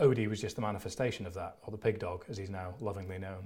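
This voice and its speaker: Somewhat breathy, a man speaks very fast with fairly even intonation. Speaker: mental health advocate and athlete. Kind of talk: interview.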